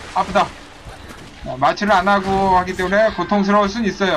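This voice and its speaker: Through noticeable background noise, a man with a high voice speaks at a very fast pace. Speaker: video game streamer. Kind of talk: live gameplay commentary. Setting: online livestream with chat viewers. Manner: animated, playful, joking.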